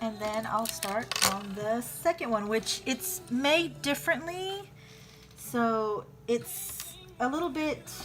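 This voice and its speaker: Music plays in the background as a woman speaks with a fairly high pitch. Her voice moves in very wide pitch swings. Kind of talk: casual tutorial talk to camera.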